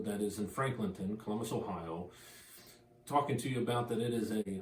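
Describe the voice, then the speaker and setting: Noticeable background noise runs under the speech. A man talks with ordinary pitch variation. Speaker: auctioneer and real estate agent. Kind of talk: real estate auction promo, talking to camera.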